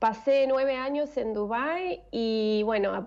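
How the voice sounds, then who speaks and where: This woman has an Argentine accent and a fairly high pitch. Her pitch varies in an ordinary way. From Argentina. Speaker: former flight attendant, online language tutor. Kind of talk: interview answer.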